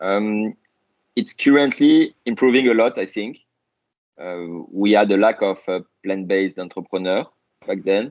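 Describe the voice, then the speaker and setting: A man's fairly slow speech in a French accent, with ordinary pitch variation and long, frequent pauses. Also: fairly low pitch for a man. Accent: noticeable French. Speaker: startup founder and CEO. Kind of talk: podcast interview. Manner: hesitant, many fillers.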